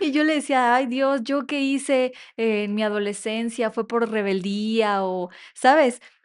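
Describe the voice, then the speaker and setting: At a very slow pace, a woman with a fairly high pitch and ordinary pitch variation speaks against a quiet background. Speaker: podcast co-host. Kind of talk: casual chat.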